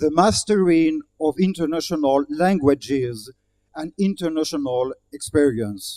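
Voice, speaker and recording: At a fairly slow pace, a man with a French accent speaks in a dark, mellow tone, his fairly high pitch varying in an ordinary way. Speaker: diplomat giving speech. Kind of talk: formal speech. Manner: formal.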